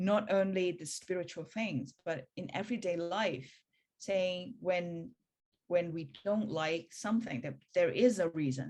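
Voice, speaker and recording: A woman speaks in a fairly low pitch with lively intonation. Her pace is fairly slow. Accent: non-native. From Hong Kong. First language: Cantonese. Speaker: spiritual practice teacher. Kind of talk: talk in a practitioner meeting. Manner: halting.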